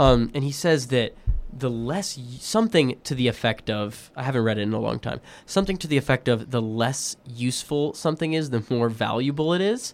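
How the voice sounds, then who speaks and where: He talks fairly quickly. This man has an ordinary speaking voice, pitched in the medium range. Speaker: college podcast host. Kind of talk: casual interview chat.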